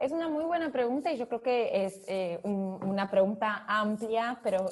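Somewhat breathy and fairly high-pitched, a woman speaks at a fairly slow pace with lively intonation. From Brazil, São Paulo. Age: 30s. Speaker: fintech executive. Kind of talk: interview. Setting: remote call.

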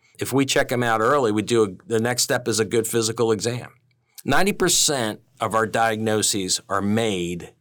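A man with a medium pitch uses a normal speaking voice, a moderate pace and ordinary pitch variation. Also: very clean recording, silent background. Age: 50s. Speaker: veterinarian. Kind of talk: interview.

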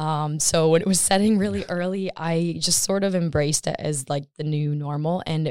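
With an American accent, a woman speaks in a very deep, low pitch. Her tone is dark and mellow, with ordinary pitch variation. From US Midwest, Michigan. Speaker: urban planning student. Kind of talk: casual interview. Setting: podcast studio.

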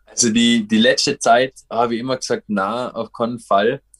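Each word from this man comes at a fairly slow pace in a very clean recording with a silent background and a dry, close sound with no echo. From Austria, Vorarlberg (Dornbirn). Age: 30s. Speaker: professional paraglider. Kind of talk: interview.

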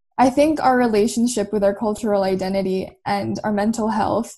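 A woman with a Canadian accent, medium pitch and a dark, mellow, somewhat breathy tone, at a moderate pace with fairly even intonation. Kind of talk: panel discussion.

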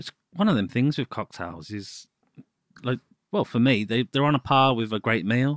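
A man's lively, medium-pitched speech at a moderate pace in a Birmingham accent, in a very clean recording with a silent background and a dry, close sound with no echo. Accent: Birmingham (Brummie). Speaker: podcast co-host. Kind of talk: casual chat.

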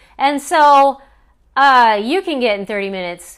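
In a very clean recording with a silent background, a woman uses a normal speaking voice, fairly high in pitch, with lively intonation. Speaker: coach. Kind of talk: live coaching talk, casual monologue. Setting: live stream with viewer comments.

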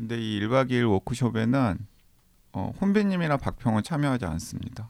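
A man with a normal speaking voice speaks at a moderate pace, his medium pitch carried by lively intonation. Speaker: podcast host. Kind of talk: casual chat.

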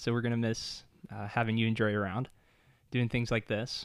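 A man speaks at a fairly quick clip, his pitch in the middle range. He has an ordinary speaking voice. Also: very clean recording, silent background. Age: 30s. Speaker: author and church planter. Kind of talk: casual interview chat.

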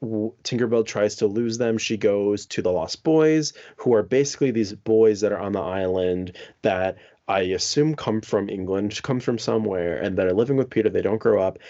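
A man with fairly low pitch talks at a moderate pace with ordinary pitch variation in an unremarkable speaking voice. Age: 20s. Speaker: podcast co-host. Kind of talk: casual chat.

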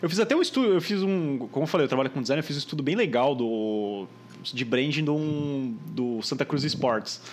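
Using an unremarkable speaking voice, a man talks at a moderate pace with a fairly high pitch. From Brazil, Santos. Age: 20s. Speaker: podcast host, designer. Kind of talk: casual chat. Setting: online call.

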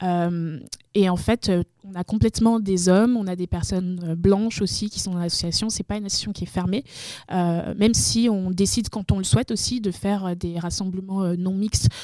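This woman has a dark, mellow tone at a medium pitch. She speaks at a moderate pace with fairly even intonation. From Benin. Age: 20s. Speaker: video game community manager and association founder. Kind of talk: casual interview.

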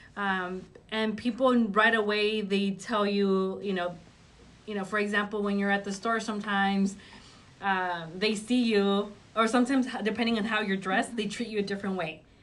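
In a Spanish accent, a woman of medium pitch speaks at a moderate pace with fairly even intonation. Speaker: high school guidance counselor. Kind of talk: interview.

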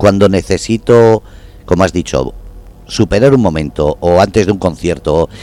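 Speaking at a moderate pace, a man with a very deep, low pitch uses lively intonation. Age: 50s. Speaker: radio host. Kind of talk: interview.

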